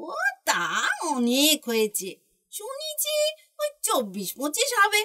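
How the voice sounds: A put-on character voice, female-sounding and extremely high-pitched, comes at a fairly slow pace.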